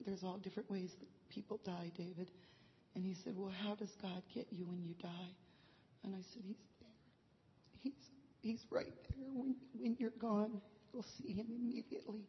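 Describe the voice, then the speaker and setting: A woman talks at a moderate pace with a medium pitch. Her voice is somewhat breathy, broken by long, frequent pauses. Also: ordinary pitch variation. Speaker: bereaved mother sharing. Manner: emotional, halting.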